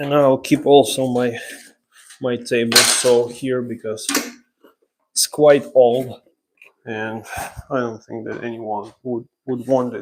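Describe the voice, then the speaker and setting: In a Ukrainian accent, the speech goes very slowly with monotone, flat intonation, long and frequent pauses, and big swings in loudness. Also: man, medium pitch for a man. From Ukraine. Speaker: renovation contractor. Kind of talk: live stream tutorial. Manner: casual, halting.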